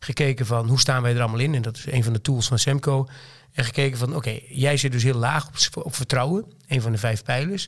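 Speaking at a very fast pace, a man uses a medium pitch and a slight Twente accent. His voice is somewhat breathy. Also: fairly even intonation. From Twente, eastern Netherlands. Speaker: company director. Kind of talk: casual interview conversation. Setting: studio.

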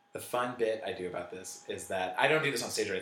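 A man speaks with an American accent. The room echo is audible, and background noise is noticeable. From Northern California. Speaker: comedian. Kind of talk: casual chat.

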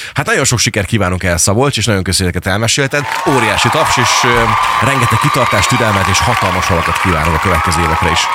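A man at a very fast pace, fairly low in pitch, with lively intonation, very even loudness and noticeable background noise. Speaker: radio host. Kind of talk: casual radio interview. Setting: studio.

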